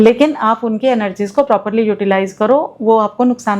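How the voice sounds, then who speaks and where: Speaking with a Himachali accent, a woman keeps a fairly even intonation at a moderate pace and a fairly high pitch. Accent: Himachali accent in her Hindi. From Himachal Pradesh, India. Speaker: astrologer. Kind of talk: interview.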